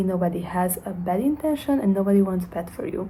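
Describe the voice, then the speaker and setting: A woman with a Hungarian accent speaks at a medium pitch, with audible room echo around her. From Hungary. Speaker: self-development vlogger. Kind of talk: motivational monologue to camera. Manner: halting, with fillers.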